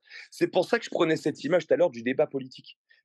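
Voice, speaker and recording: Recorded dry and close with no echo, a man is talking. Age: 30s. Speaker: fitness coach. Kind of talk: podcast interview. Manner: animated; hesitant fillers.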